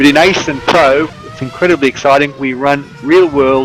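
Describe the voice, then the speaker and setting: This man talks at a moderate pace with an Australian accent, his pitch medium and its variation ordinary. Music plays in the background. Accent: anglicised Australian, moderate. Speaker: sim racing commentator. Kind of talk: live commentary.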